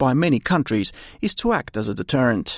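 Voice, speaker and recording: Recorded with a dry, close sound and no echo, a man with an Australian accent speaks at a fairly high pitch. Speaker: news reporter. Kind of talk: broadcast news reading, scripted and polished. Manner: formal, measured, steady and neutral newsreader delivery.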